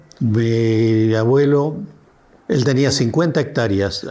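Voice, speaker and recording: This is a man speaking at a medium pitch. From Argentina, Río Negro (Alto Valle). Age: 80s+. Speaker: elderly local resident. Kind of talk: documentary interview testimony. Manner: halting, with self-corrections.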